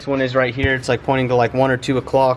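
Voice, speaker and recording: A man's voice over noticeable background noise. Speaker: mechanic video creator. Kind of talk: tutorial. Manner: casual; loud.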